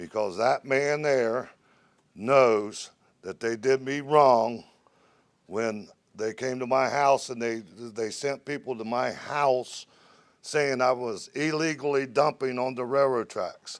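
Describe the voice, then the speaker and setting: A man talks at a very slow pace in a medium pitch with fairly even intonation. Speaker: public commenter. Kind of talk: public comment at council meeting. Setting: city council meeting. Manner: heated.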